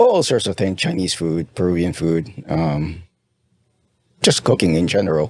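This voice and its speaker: Very deep and low, a man's voice with a Spanish accent goes at a moderate pace with ordinary pitch variation and long, frequent pauses. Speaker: pharmaceutical industry professional. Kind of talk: interview conversation. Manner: halting.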